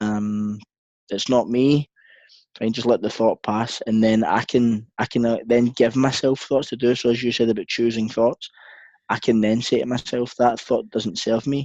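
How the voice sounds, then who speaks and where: In a Scottish accent, a man at medium pitch speaks at a moderate pace in a monotone, flat way, with a dry, close sound and no echo. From Scotland. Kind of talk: interview answer.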